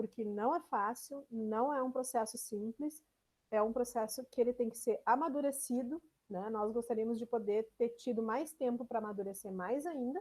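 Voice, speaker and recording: This woman has a strong gaúcho accent and a fairly high pitch. She talks at a moderate pace. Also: ordinary pitch variation. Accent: strong southern Brazilian (gaúcho). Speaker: university extension administrator and lecturer. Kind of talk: online lecture. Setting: video call. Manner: frequent fillers, conversational.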